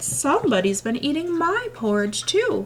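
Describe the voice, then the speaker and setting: A woman speaks in a high-pitched, put-on character voice with very wide swings in pitch. Her pace is moderate, and background noise is clearly audible. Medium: read story.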